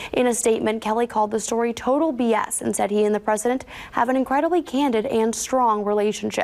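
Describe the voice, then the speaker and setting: A high-pitched woman at a fairly quick pace, with ordinary pitch variation and noticeable background noise. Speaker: news anchor. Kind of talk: TV news anchoring.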